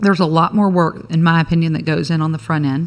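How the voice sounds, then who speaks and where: Fairly low in pitch, a woman talks with an American accent and ordinary pitch variation. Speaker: attorney and business owner. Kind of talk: casual interview chat. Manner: fast.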